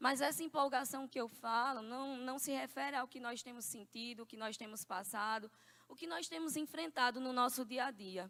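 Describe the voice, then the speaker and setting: A woman speaks with a high pitch and a bright, sharp tone at a moderate pace. Her pitch varies in an ordinary way while her loudness swings widely. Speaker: preacher. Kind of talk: sermon. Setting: church.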